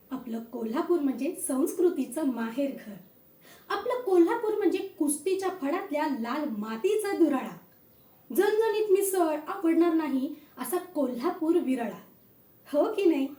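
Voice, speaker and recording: This woman's voice sits at an extremely high pitch, with a dark, mellow tone, an upbeat tone and very wide pitch swings. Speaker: aspiring anchor / host auditioning. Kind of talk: beauty contest stage anchor opening. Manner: upbeat, lively.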